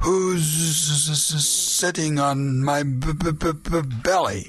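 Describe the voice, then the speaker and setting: Against light background noise, a man puts on a character voice at a fairly high pitch. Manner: stuttering.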